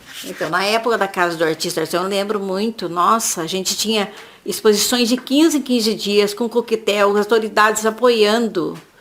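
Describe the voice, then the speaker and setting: A woman's ordinary speaking voice, fairly high in pitch, with ordinary pitch variation at a moderate pace. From Brazil, São Paulo state (Jacareí). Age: 60s. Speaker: craftswoman. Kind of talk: oral history interview. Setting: at home.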